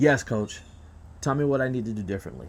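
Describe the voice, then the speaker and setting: Putting on a robotic character voice, a man talks at a medium pitch and a very fast pace. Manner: robotic, monotone.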